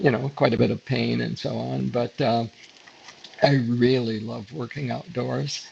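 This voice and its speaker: Background noise is noticeable. A man talks at a moderate pace. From upstate New York. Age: 90s. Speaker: retired photographer. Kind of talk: interview. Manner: halting, many fillers.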